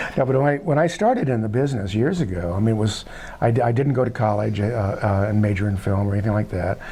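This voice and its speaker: A man with an American accent at a very fast pace, very even loudness and ordinary pitch variation, with noticeable background noise and audible room echo. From Southern California. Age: 70s. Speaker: filmmaker. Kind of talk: interview. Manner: halting, many fillers.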